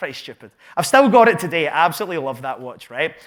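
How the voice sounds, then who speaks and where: This very clean recording has a silent background. A man with a Glaswegian accent talks at a fairly quick pace with lively intonation. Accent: Glaswegian Scottish. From Scotland, Glasgow south side. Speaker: entrepreneur and business coach. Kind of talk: live talk to an audience. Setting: stage with audience. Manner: animated.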